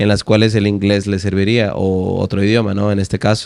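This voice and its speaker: Words come at a very fast pace from a man. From Veracruz, Mexico. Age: 20s. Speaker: language teacher and poet. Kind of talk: interview answer.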